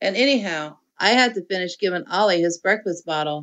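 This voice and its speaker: A woman's raspy, put-on character voice at a medium pitch, delivered at a fairly quick pace. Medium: read story.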